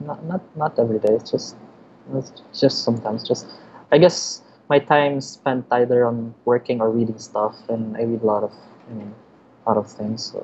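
The delivery has a moderate pace and a Filipino accent. Pitch variation is ordinary, with light background noise behind it. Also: man. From Philippines. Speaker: designer and illustrator. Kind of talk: interview. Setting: remote call. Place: home room. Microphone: video call.

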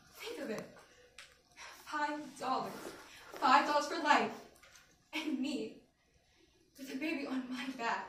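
A woman's high-pitched voice with a bright, sharp tone, ordinary pitch variation, big swings in loudness and a fairly slow pace with long, frequent pauses, amid audible room echo and light background noise. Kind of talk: dramatic monologue performance. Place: classroom. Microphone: camera far.

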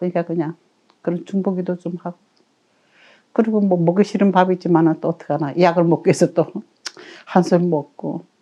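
Her intonation fairly even, a woman with a dark, mellow tone and fairly low pitch speaks at a fairly quick pace, broken by long, frequent pauses. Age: 80s+. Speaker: storyteller, devout church elder. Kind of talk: interview answer.

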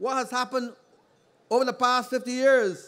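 A man is speaking. He has a Barbadian accent. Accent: Barbadian (Bajan) English. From Barbados. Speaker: politician. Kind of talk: political rally speech. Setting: outdoor public meeting on playing field. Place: stage. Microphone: podium.

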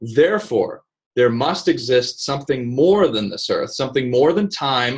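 A man with an American accent speaks at a fairly high pitch, somewhat breathy. The background is quiet. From Vienna, Austria (American missionary family), then US. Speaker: speaker. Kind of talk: lecture. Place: office. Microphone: webcam.

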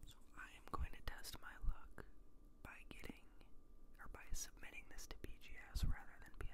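Someone whispers in a relaxed tone at a moderate pace. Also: man. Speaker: ASMR creator. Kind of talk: ASMR talk to camera. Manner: soft-spoken, relaxed. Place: home room. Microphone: studio mic.

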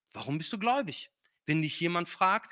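In a non-native accent, a man uses a raised, projected voice with a bright, sharp tone and lively intonation over a quiet background. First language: not German (speaking German). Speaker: guest preacher; preacher. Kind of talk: sermon. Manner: hesitant with filler sounds. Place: church. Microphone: handheld.

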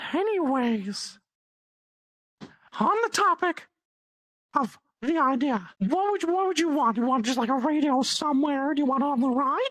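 Using a put-on character voice at a high pitch, the speaker keeps a moderate pace with long, frequent pauses. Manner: scheming, casual.

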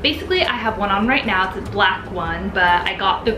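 The pace is fairly quick. Noticeable background noise sits behind the voice. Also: woman. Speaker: vlogger. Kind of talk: casual vlog chat. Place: home room. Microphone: camera far.

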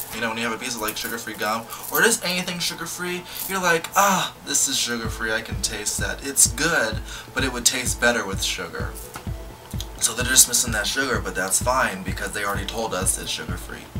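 A man speaking at a fairly quick pace with clear music behind him. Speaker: video blogger. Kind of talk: casual music video reaction chat. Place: home room. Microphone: phone near.

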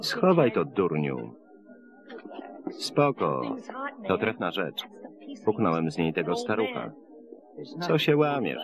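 Against noticeable background noise, a man talks at a very slow pace with long, frequent pauses. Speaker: film voice-over reader. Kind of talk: single-voice film voice-over translation.

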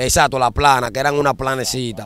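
With a Dominican accent, a man talks at a very fast pace in a dry sound with no echo. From Dominican Republic, Santo Domingo (La Ciénaga, Guachupita); Dominican Republic. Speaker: former street gang member turned dembow singer; interviewee. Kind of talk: interview. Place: waterside. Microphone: handheld.

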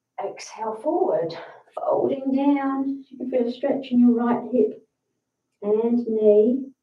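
With a high pitch and ordinary pitch variation, a woman speaks at a very slow pace with long, frequent pauses and big swings in loudness, against a quiet background and audible room echo. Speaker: yoga instructor. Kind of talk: guided yoga class, calm step-by-step instructions. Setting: livestream to online audience. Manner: calm, slow, soothing cueing; slightly nervous, friendly, chatty. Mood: calm, soothing. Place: home room.

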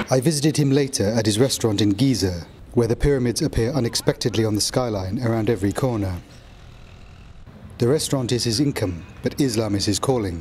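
Noticeable background noise sits behind a man talking very fast. His voice is medium in pitch, with ordinary pitch variation. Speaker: news correspondent. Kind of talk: news report narration.

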